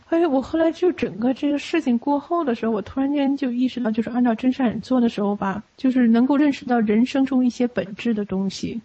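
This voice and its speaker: A woman talks at a fairly quick pace, her pitch varying in an ordinary way, while noticeable background noise fills the space behind her. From Beijing, China. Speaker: Falun Gong practitioner. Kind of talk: personal testimony. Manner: halting, with many fillers.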